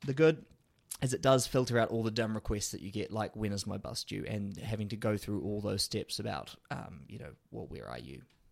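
Vocal fry at a fairly quick pace. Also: man. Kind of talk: casual chat.

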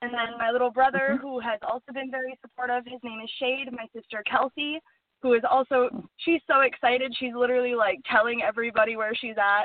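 Delivered at a very fast pace with an American accent, the speech has fairly even intonation but big swings in loudness. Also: woman, high pitch for a woman. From US Upper Midwest (Duluth, Minnesota / Superior, Wisconsin). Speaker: film producer. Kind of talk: interview.

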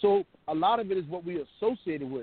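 With lively intonation, a man talks at a fairly quick pace in an ordinary speaking voice. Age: 50s. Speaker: co-host and truck driver. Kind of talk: call-in talk show.

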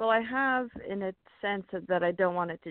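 The speaker is a woman with a plain, everyday voice and fairly low pitch. She moves at a fairly quick pace with ordinary pitch variation. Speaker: caller. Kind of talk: call-in seeking a reading. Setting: phone call.

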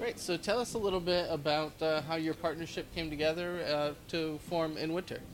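A man with a fairly high pitch uses a normal speaking voice, talking at a fairly quick pace with fairly even intonation. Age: 40s. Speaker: podcast host. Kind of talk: interview. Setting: coffee shop.

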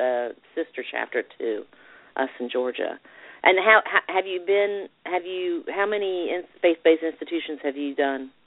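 A woman's fairly low pitch and lively intonation at a moderate pace. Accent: Southern US. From Alabama, US South. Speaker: radio show host. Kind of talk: interview.

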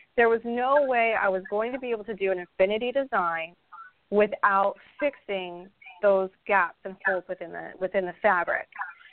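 A woman with an American accent speaks at a moderate pace and a medium pitch, with ordinary pitch variation. She has a normal speaking voice. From Idaho, US. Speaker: crochet designer. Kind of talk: casual interview.

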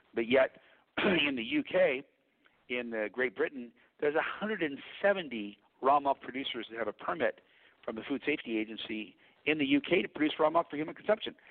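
A man speaks at a moderate pace in a fairly high voice, with lively intonation and long, frequent pauses. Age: 50s. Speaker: raw milk institute founder and dairy farmer. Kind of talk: interview.

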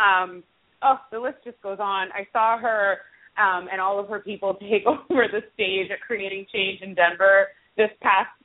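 A woman with an American accent has an unremarkable speaking voice and fairly even intonation. She goes at a fairly slow pace, with big swings in loudness. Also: medium pitch for a woman. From Brooklyn, New York. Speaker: community organizer. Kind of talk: interview.

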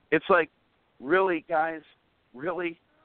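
A man speaks with a fairly high pitch. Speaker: guest co-host. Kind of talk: casual religious talk.

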